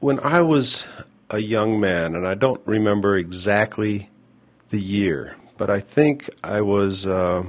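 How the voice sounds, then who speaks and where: A man with an American accent, a normal speaking voice and a fairly low pitch. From US Mountain West (northern Utah). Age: 50s. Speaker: podcast host. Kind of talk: personal storytelling monologue.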